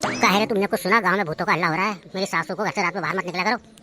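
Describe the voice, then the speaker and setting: A man's cartoonish character voice, high-pitched and very fast, with fairly even intonation. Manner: serious.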